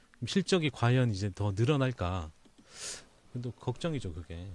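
Somewhat breathy medium-pitched male voice with very wide pitch swings on a very clean recording with a silent background. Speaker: finance team manager. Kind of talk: casual expert discussion on market selloff. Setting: recording studio.

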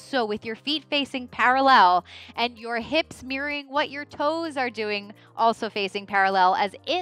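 Faint music sits in the background of a dry recording with no echo. A woman talks at a fairly slow pace. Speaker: fitness trainer. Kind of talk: exercise class instruction. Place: studio. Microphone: headset.

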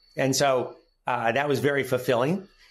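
A man at a moderate pace. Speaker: guest. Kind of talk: interview answer. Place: office. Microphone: earbuds.

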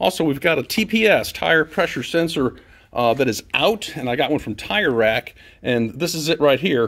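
A man talks at a fairly quick pace with lively intonation. The background is quiet. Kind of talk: casual vlog chat. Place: garage. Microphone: phone near.

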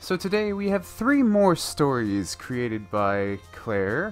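With music in the background, a man speaks in an upbeat tone at a fairly high pitch, swinging very widely up and down. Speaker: story reader. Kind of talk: casual talk to camera.

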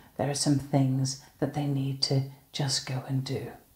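Against a quiet background, the voice comes at a fairly slow pace with a dark, mellow tone and a somewhat breathy quality. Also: woman. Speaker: minister leading online worship. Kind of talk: welcome and introduction to a worship service. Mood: warm, cheerful. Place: home room. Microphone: phone near.

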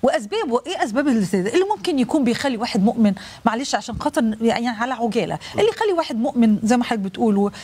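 Delivered with an Egyptian accent, the speech runs at a very fast pace with lively intonation, very even loudness and hardly any pauses. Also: woman, fairly high pitch for a woman. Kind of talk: live religious TV program. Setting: studio. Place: studio.

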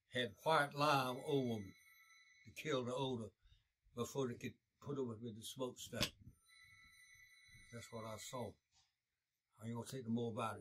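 A man at a moderate pace, with fairly even intonation, long and frequent pauses, big swings in loudness, and loud background noise. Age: 80s+; old. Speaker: war veteran. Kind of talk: oral history interview answer. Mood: grave, somber recollection. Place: home room.

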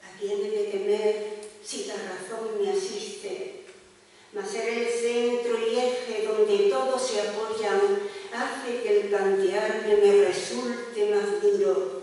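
A woman speaks at a very slow pace. Strong room echo surrounds her voice. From Málaga; Spain. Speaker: poet reading her own work. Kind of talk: poetry reading, intimate and measured. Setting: live event at poetry foundation. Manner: slow, lyrical, reflective delivery. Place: hall.

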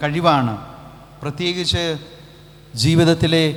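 A man speaks at a high pitch with ordinary pitch variation. Noticeable background noise runs behind him. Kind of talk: homily.

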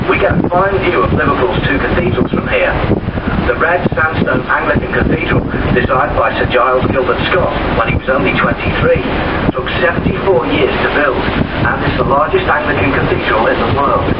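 A man talks at a fairly quick pace amid loud background noise. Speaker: ferry tour commentator. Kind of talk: guided tour commentary. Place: boat.

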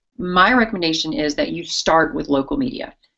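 Against a quiet background, a woman's fairly low voice moves through very wide pitch swings. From South Louisiana. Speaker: veterinarian and TV pet show host; TV pet show host. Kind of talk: interview on live web broadcast. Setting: video call from a radio station. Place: office. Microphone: video call.

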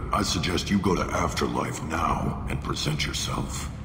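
Using a put-on character voice, a man speaks at a moderate pace, with clear echo and loud background noise. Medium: machinima. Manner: curt, commanding.

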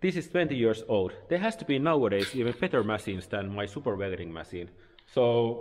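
A man talks at a fairly quick pace with lively intonation over light background noise. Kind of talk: casual vlog chat, product review. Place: workshop. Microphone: phone near.

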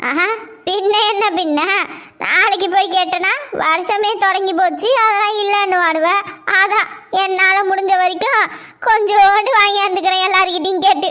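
In a cartoonish character voice, a woman talks at an extremely high pitch, at a fairly slow pace and with fairly even intonation. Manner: quarrelsome, complaining.

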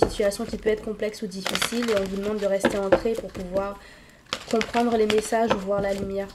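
A woman's slightly mellow voice with little pitch movement, over faint background noise.

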